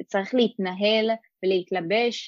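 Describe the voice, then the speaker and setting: This is a woman with a plain, everyday voice pitched fairly high. Her intonation is fairly even, and the sound is dry and close with no echo. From Israel, Rosh HaAyin. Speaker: former community emissary. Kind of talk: interview.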